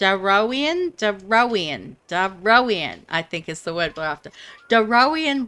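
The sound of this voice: Lively intonation in an unforced reading voice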